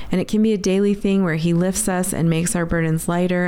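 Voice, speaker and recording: Over noticeable background noise, a woman with an American accent talks in a fairly low pitch with monotone, flat intonation. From New England, US. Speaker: podcast host. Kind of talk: casual conversational podcast intro.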